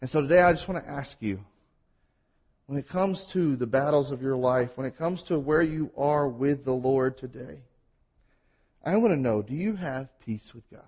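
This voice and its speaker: At a moderate pace, a somewhat breathy man speaks at a fairly high pitch with ordinary pitch variation. His loudness swings widely, and he takes long, frequent pauses. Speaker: pastor. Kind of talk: sermon. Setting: church.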